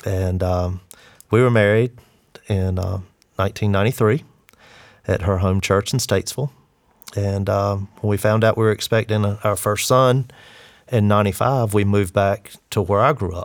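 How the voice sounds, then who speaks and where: Fairly low, fairly even speech from a man with a Southern US accent, moderate pace, and long, frequent pauses. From Eastern North Carolina. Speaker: disaster relief worker. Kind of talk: interview.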